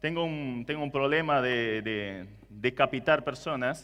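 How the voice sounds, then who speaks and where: With a non-native accent, a man speaks at a fairly slow pace using lively intonation. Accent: foreign, non-Argentine Spanish. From Germany. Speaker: preacher. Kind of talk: sermon.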